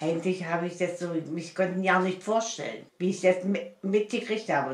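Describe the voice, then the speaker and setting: A woman's fairly even intonation amid audible room echo. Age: 80s+. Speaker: grandmother. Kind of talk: casual interview answer. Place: home room. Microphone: camera far.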